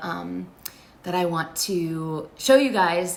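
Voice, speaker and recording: Her voice sits at a fairly low pitch, and there is audible room echo around this woman. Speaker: fan vlogger. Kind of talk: casual vlog recap. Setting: friend's place, temporary spot. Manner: filler-heavy, lots of um and like.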